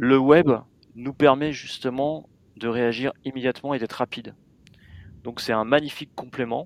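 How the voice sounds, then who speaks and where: This is a normal speaking voice at a moderate pace with fairly even intonation. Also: man, medium pitch for a man. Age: 40s. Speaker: magazine editor-in-chief. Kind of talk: interview.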